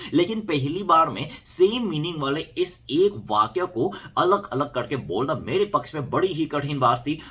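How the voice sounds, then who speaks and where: Against noticeable background noise, a man with a Korean accent talks at a fairly high pitch with lively intonation and hardly any pauses. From South Korea. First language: Korean (speaking Hindi). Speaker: YouTuber. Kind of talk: casual vlog storytelling.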